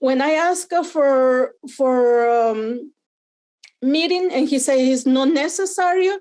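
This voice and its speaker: Her pitch high, a woman speaks at a fairly slow pace with ordinary pitch variation. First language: not English. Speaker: parent telling her experience. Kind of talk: testimony. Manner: halting.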